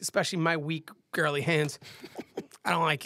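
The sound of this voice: In a raspy, put-on character voice, someone talks at a fairly quick pace with a middle pitch and monotone, flat intonation.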